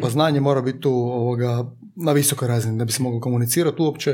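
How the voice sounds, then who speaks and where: In a very clean recording with a silent background, a man talks at a very fast pace with a dark, mellow tone and ordinary pitch variation. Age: 20s. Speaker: insurance broker. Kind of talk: casual chat. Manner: halting.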